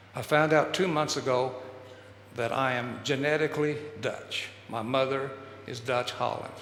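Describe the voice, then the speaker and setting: Speaking at a moderate pace with long, frequent pauses, a man with a Texan accent keeps a medium pitch and fairly even intonation amid audible room echo and noticeable background noise. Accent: Texan American English. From Texas. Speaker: speaker on human development. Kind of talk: public talk.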